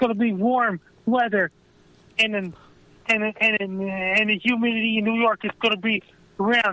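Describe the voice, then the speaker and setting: Monotone and flat, a man with a high pitch speaks at a moderate pace, leaving long, frequent pauses. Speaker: amateur weather forecaster. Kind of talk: weather forecast.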